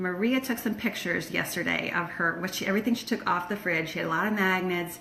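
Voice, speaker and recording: Over noticeable background noise, a woman with an American accent and a medium pitch talks very fast with hardly any pauses and ordinary pitch variation. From Florida by way of Michigan. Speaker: decluttering coach. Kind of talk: live stream Q&A. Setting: Facebook live video. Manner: casual, many fillers.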